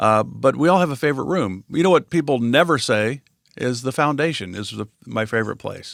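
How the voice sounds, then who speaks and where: In a normal speaking voice, a man speaks fairly quickly at a medium pitch with lively intonation, the recording very clean with a silent background and a dry, close sound with no echo. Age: 60s. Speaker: podcast co-host. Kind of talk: casual chat.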